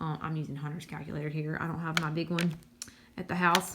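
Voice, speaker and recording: A woman speaks with a Southern US accent. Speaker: high school math teacher. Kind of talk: tutorial. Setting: recording at home. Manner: casual with many fillers.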